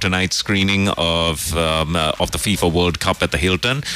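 Over music in the background, a man talks at a moderate pace with a very deep, low pitch.

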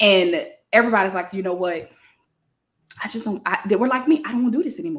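A somewhat breathy woman with an American accent, fairly high in pitch, very fast yet with long, frequent pauses and very wide pitch swings. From New Orleans, Louisiana. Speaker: leadership coach. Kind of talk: interview.

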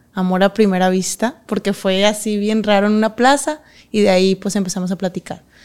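The speaker has an ordinary speaking voice. The intonation stays fairly even. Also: woman. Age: 20s. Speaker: professional dancer. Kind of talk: interview.

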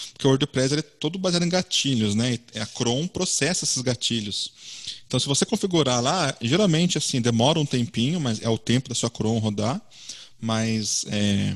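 Close and dry with no echo, a man's medium-pitched voice moves at a moderate pace with lively intonation. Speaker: web design community organizer. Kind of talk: online meetup presentation.

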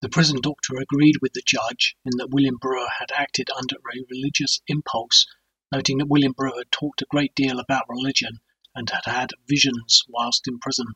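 Heard with a dry, close sound and no echo, a man with an unremarkable speaking voice talks at a fairly quick pace in a medium pitch with fairly even intonation. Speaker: narrator. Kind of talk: true-crime narration, scripted and read aloud. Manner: measured, solemn, even-paced; formal, deadpan, matter-of-fact reading.

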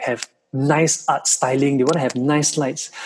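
Over music in the background, a man talks at a moderate pace with a fairly high pitch and fairly even intonation. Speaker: production company founder. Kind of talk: interview.

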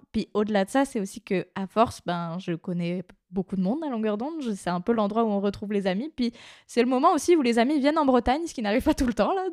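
On a very clean recording with a silent background and a dry, close sound with no echo, a woman speaks in an unremarkable speaking voice, fairly high and lively in intonation, at a fairly quick pace. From Brittany, near Brest, France. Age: 20s. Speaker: podcast intern and co-host. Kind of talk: casual chat.

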